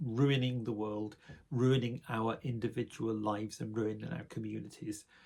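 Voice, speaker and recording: This man's medium-pitched voice sounds somewhat breathy, and his intonation stays fairly even. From northern England, Sheffield, South Yorkshire. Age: 60s. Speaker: spiritual vlogger. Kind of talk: personal reflective monologue. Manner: hesitant, with fillers.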